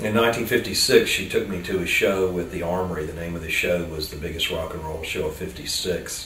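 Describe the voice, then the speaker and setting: A man at a fairly quick pace with hardly any pauses, amid noticeable background noise and audible room echo. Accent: American. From US South, Tampa, Florida. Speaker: rock and roll musician. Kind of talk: interview reminiscence. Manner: casual, hesitant with fillers.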